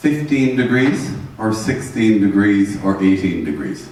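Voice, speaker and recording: Lively intonation comes through with audible room echo and noticeable background noise. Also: man. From Ireland. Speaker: energy management trainer. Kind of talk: seminar lecture. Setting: seminar room with audience and interpreters. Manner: conversational, interactive.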